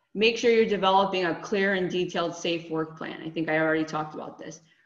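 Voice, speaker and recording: Through noticeable background noise comes speech in an American accent. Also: woman. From Connecticut. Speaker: HR and staffing business owner. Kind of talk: webinar presentation. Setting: video call.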